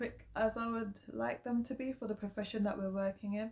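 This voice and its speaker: In a British accent, a woman talks with a somewhat breathy voice. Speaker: vlogger. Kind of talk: casual vlog monologue.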